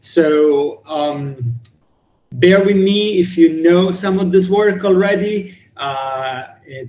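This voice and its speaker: This man talks with ordinary pitch variation. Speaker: cryptography researcher lecturer. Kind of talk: lecture. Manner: loud.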